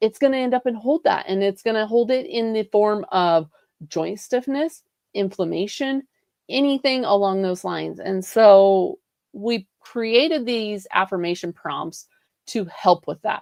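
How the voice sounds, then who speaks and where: In a dry, close sound with no echo, a woman with a fairly high pitch talks at a fairly slow pace in an animated tone. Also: lively intonation. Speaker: wellness coach and livestream host. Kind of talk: live stream talk. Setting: live stream.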